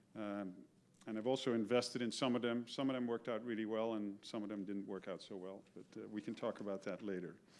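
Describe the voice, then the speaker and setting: Speaking very fast, a man uses fairly even intonation. His fairly low voice carries a Dutch accent. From Netherlands. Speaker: retired business executive. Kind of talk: talk to an audience. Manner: hesitant, with fillers and repetitions.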